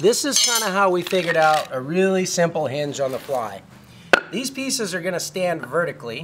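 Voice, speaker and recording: A high-pitched man's voice at a moderate pace, with noticeable background noise. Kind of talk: tutorial. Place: street. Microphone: phone near.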